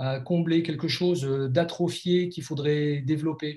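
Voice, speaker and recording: In a fairly high pitch and a dark, mellow tone, a man speaks at a fairly slow pace with monotone, flat intonation. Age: 50s. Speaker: life coach and blogger. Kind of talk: interview. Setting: video call.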